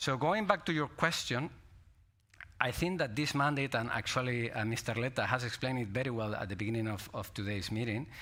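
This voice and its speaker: With a Spanish accent, a man speaks in a bright, sharp tone with ordinary pitch variation, in a very clean recording with a silent background. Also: medium pitch for a man. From Spain. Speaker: politician. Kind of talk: panel discussion.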